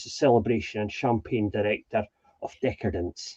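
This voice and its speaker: A man with a Highland Scottish accent. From Scottish Highlands. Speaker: ceilidh host and wedding entertainer. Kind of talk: casual introduction chat.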